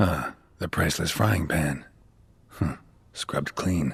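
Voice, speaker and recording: In a put-on character voice, the speaker sounds raspy and deadpan, with a very deep, low pitch and a fairly slow pace. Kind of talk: video game voice acting. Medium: video game. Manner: terse, deadpan.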